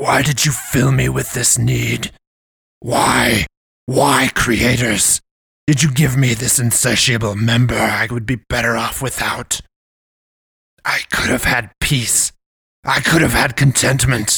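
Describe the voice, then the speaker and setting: Using a put-on character voice, a man bellows in a raspy tone at medium pitch, moving at a fairly slow pace with fairly even intonation and long, frequent pauses. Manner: roaring, anguished.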